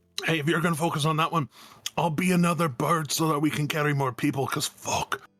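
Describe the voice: Someone talks very fast in a put-on character voice, with faint music in the background. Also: man, fairly high pitch for a man.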